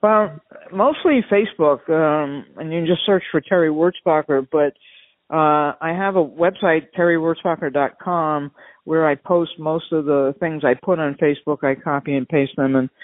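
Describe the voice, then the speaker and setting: In an American accent, a woman with a very deep, low pitch talks at a moderate pace with ordinary pitch variation. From New York, Long Island. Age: 70s. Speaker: doctor and ultra endurance athlete. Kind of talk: interview.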